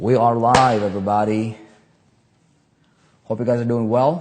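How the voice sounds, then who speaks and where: The man talks at a fairly slow pace with ordinary pitch variation. Room echo is audible. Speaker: online marketing trainer. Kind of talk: live stream chat. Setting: livestream. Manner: animated.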